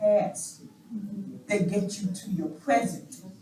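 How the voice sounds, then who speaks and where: A woman's very slow speech with audible room echo. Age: 60s. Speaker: community member. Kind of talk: public comment at community meeting. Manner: animated.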